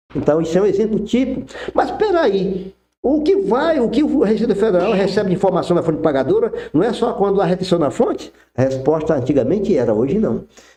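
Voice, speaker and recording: Here a man speaks in a high voice with very wide pitch swings. His pace is fairly quick and his loudness stays very even. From Brazil, Acre / Rondônia region. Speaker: tax expert, former federal revenue officer. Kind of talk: podcast interview explanation.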